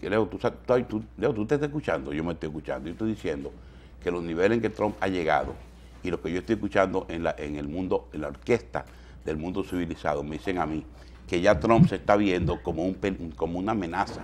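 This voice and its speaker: Over light background noise, a man talks very fast in a very deep, low voice with lively intonation and vocal fry. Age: 50s. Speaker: TV news host. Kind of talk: morning news commentary. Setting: TV studio. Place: studio.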